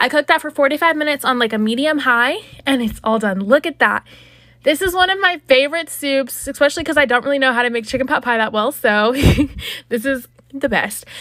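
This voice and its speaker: A woman talks very fast in a raised, projected voice, high-pitched with a bright, sharp tone and ordinary pitch variation. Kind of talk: cooking tutorial. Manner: casual, chatty.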